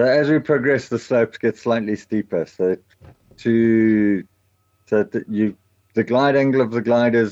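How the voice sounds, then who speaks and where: The man has a dark, mellow tone and a medium pitch. He talks at a moderate pace in a dry, close sound with no echo. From South Africa, KwaZulu-Natal north coast. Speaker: paragliding instructor. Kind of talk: casual interview.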